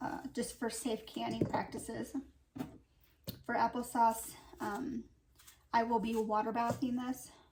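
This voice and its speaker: A woman speaks at a fairly slow pace in a fairly high, flat monotone, with long, frequent pauses and noticeable background noise. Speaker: homesteading and canning vlogger. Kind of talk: casual cooking tutorial. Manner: halting, many fillers.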